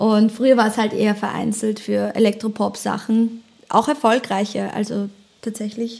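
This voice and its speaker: The speaker is a woman with a fairly high pitch. She keeps a moderate pace and a monotone, flat intonation. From German-speaking, bilingual with American father. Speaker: singer-songwriter. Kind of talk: casual chat.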